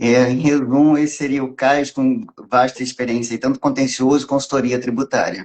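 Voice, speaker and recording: At a moderate pace, a man speaks in a medium pitch. His intonation is fairly even. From Minas Gerais, Brazil (born in Rio). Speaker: tax lawyer. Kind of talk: live stream interview.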